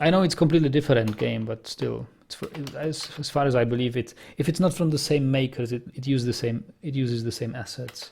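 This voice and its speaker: A somewhat breathy man speaks at a fairly quick pace. His pitch sits in the medium range with ordinary variation. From Czech Republic, German minority. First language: Czech. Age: 30s. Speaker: video game streamer. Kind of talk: casual gaming commentary with chat. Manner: halting, frequent self-corrections.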